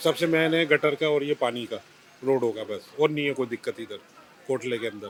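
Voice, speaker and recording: The speech moves at a moderate pace. There is noticeable noise in the background. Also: man, fairly high pitch for a man, ordinary pitch variation. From Delhi, Khairpur village. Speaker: local resident interviewed. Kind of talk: street interview. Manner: emphatic.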